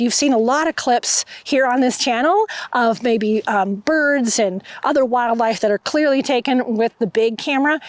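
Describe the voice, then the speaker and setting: A woman with a high pitch speaks in a dry, close sound with no echo. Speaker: photographer and camera reviewer. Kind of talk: gear review vlog. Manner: casual with fillers.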